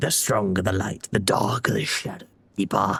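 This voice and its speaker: A put-on character voice delivers the lines in a low pitch. Its tone is solemn and its pace moderate. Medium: game stream. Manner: solemn, cryptic.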